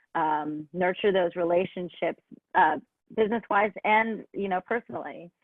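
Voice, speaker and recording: Speaking in an American accent, a woman with an unremarkable speaking voice uses a medium pitch, ordinary pitch variation and a moderate pace. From Los Angeles. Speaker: singer-songwriter. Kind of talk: interview answer.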